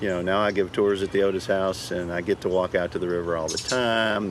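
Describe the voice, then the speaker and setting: Here is a man with an American accent. Background noise can be noticed. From northern Louisiana, Shreveport. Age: 60s. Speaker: park ranger. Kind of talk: interview. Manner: halting, with frequent fillers and repeats.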